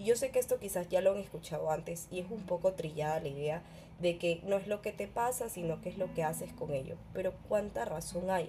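In a fairly low pitch, a woman talks at a fairly quick pace with an animated tone and ordinary pitch variation. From Ecuador, Guayaquil. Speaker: podcast host. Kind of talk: personal reflection monologue.

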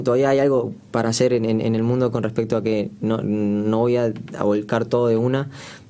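Noticeable background noise under a man's moderately paced speech, medium in pitch and ordinary in pitch variation. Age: 20s. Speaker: singer. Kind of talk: casual chat.

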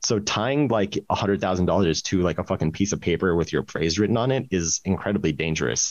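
With lively intonation, a man speaks at a very deep, low pitch. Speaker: crypto startup co-founder and CTO. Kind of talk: casual chat.

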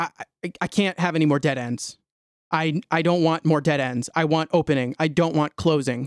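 A man speaks in a normal speaking voice with a fairly high pitch and fairly even intonation, the very clean recording dry and close with no echo and a silent background. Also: moderate pace. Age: 20s. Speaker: solo spiritual podcaster. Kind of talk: solo monologue, stream of consciousness. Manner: casual, frequent fillers and restarts.

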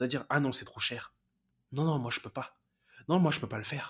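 Very fast and somewhat breathy, a man speaks in an animated tone. The recording is very clean, with a silent background. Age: 20s. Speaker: life coach podcast host. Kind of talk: motivational monologue.

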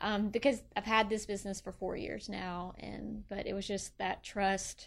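A woman talks at medium pitch with a Memphis accent and vocal fry. The recording is very clean, with a silent background. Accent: US Southern (Memphis). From Tennessee (Bartlett, Memphis area). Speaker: small business owner. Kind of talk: interview.

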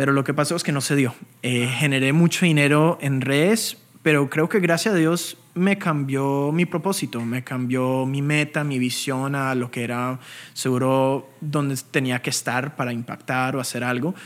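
A man speaks at a fairly high pitch with ordinary pitch variation. His pace is moderate. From Colombia, Bogotá. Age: 20s. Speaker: crypto trader and educator. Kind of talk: interview.

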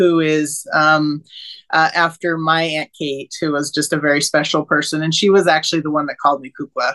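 A woman with an American accent and a very deep, low pitch, against a quiet background, with a dry, close sound and no echo. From Salt Lake City, Utah. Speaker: children's book author. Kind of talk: casual interview chat. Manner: hesitant, many fillers.

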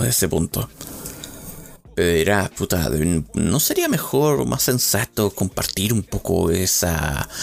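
A man speaks with very wide pitch swings yet very even loudness. Noticeable background noise runs through the clip. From Chile. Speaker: podcaster. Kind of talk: solo monologue. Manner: halting.

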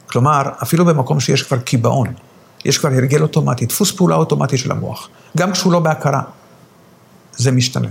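The speaker talks at a fairly quick pace with lively intonation. Noticeable background noise runs behind the voice. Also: man. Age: old. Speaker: rabbi. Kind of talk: interview. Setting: at home.

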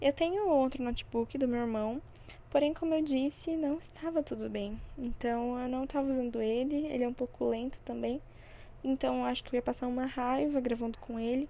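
This woman has a high pitch and a dark, mellow tone, speaking at a moderate pace with ordinary pitch variation. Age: 20s. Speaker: podcaster. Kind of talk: casual monologue. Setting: at home.

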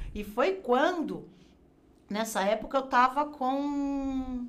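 A woman talks at a high pitch. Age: 50s. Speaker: graphic designer and crafts teacher. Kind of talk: casual interview chat.

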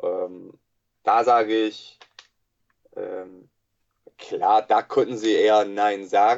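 This man has an English accent. He talks at a very slow pace with long, frequent pauses. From USA. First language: English (speaking German). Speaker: sports psychologist. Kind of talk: interview. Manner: halting, many filler sounds.

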